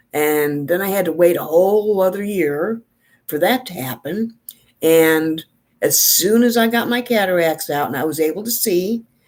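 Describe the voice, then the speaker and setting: A woman's fairly low-pitched, normal speaking voice with an American accent, lively intonation and a moderate pace. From New York. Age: 60s. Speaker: beauty vlogger. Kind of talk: casual chat.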